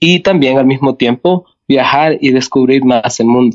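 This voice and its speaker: A dry, close sound with no echo, carrying a man's fairly slow speech. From Canada, from age six (born El Salvador). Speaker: math teacher. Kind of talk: interview. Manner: halting, with many fillers.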